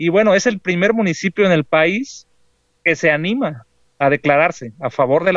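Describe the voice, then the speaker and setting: A man with an unremarkable speaking voice talks fairly slowly with ordinary pitch variation, the sound dry and close with no echo. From rural Jalisco, Mexico. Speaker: agroecology community organizer. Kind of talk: interview.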